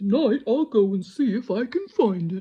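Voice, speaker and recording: Putting on a character voice, a woman speaks at a fairly high pitch and a moderate pace. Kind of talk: bedtime story. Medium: read story. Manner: gentle, wondering.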